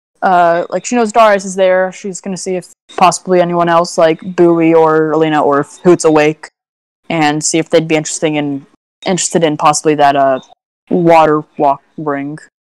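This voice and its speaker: Recorded dry with no echo against a quiet background, a woman with an unremarkable speaking voice talks at a moderate pace and a fairly low pitch with ordinary pitch variation. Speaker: tabletop role-play player. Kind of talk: tabletop role-play live stream. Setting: live stream voice chat. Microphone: video call.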